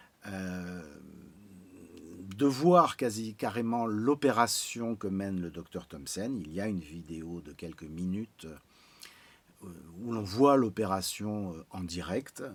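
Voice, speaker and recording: Speaking at a very slow pace with long, frequent pauses, the voice shows ordinary pitch variation and big swings in loudness. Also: man, fairly low pitch for a man. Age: 60s. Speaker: patient giving testimonial, amateur pianist. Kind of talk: testimony. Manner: hesitant, frequent 'euh'.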